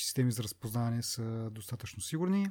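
A man's dark, mellow, somewhat breathy voice at a fairly quick pace, with ordinary pitch variation and a dry, close sound with no echo. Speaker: tech podcast host. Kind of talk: casual chat.

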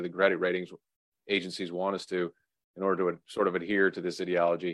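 Against a quiet background, a man talks very fast in a very deep, low pitch with monotone, flat intonation. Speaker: podcast host. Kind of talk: casual political talk show.

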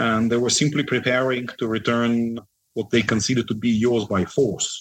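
Speaking in a Russian accent, a man talks at a moderate pace and medium pitch with fairly even intonation. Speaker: defense analyst. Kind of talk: interview.

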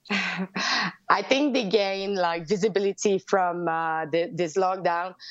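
Here a woman speaks at a very slow pace. Her pitch is medium. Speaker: reporter on Quebec protests.

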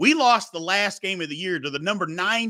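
A man's raised, projected voice, bright and sharp in tone, at a moderate pace in a very clean recording with a silent background. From Kentucky (Louisville). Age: 40s. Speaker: sports podcaster, former football player. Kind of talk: casual interview.

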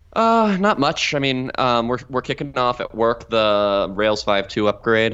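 Here is an ordinary speaking voice, with ordinary pitch variation at a moderate pace. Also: man. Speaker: podcast co-host, software developer. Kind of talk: casual chat.

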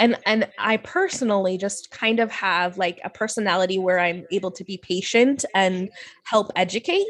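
Over a quiet background, a woman uses a plain, everyday voice at a medium pitch and moderate pace. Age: 30s. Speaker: podcaster and educator. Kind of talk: casual interview.

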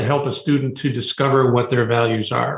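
A man talks at a fairly quick pace, fairly high in pitch. His voice is somewhat breathy. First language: Spanish. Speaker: college admissions and career coach. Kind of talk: radio interview.

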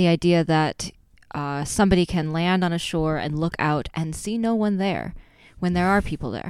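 In an ordinary speaking voice with an American accent, a woman talks at a moderate pace, her fairly low pitch varying in an ordinary way over a very clean recording with a silent background. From Wisconsin. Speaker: playwright and pastor. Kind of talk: casual chat.

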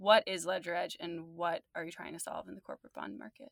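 Recorded very clean with a silent background and a dry, close sound with no echo, a woman with an American accent speaks at a medium pitch in a bright, sharp tone with ordinary pitch variation. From New Jersey. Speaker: podcast host. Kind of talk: interview. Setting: studio.

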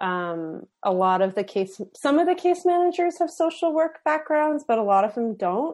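A woman with an American accent speaks at a moderate pace with hardly any pauses. Her high pitch moves in very wide swings over a quiet background. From Philadelphia, US. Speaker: podcast guest. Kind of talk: casual chat. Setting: video call. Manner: measured, mannered speech.

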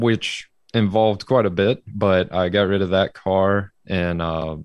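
A man's very deep, low voice with an Alabama accent. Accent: Southern US (Alabama). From Alabama, US South. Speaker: amateur drift racer. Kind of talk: casual chat.

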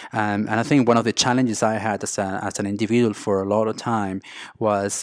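A Spanish accent at a moderate pace, with monotone, flat intonation. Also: man. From Venezuela. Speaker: business coach and restaurateur. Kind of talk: interview.

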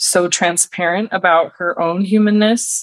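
A woman with a plain, everyday voice speaks at medium pitch in an American accent, in a dry, close sound with no echo. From Wisconsin. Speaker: women's circle facilitator and mentor. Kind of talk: podcast interview.

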